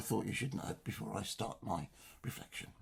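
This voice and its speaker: A man with an English accent speaks in a somewhat breathy voice. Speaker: church lay reader. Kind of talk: religious reflection. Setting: home study.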